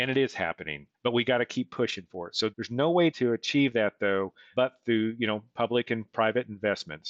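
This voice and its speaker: A man with an American accent has an unremarkable speaking voice, medium in pitch with ordinary variation, and talks at a fairly quick pace. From rural western Oklahoma. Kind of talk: interview.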